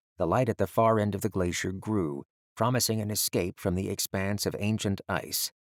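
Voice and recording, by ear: A natural voice reading aloud, fairly even in intonation, over quiet surroundings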